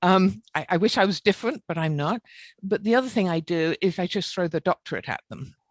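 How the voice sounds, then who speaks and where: Against a quiet background with a dry, close sound and no echo, a woman speaks at a fairly quick pace with a British accent, her medium pitch showing ordinary variation. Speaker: engineer with a doctorate. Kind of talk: webinar panel discussion. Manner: blunt.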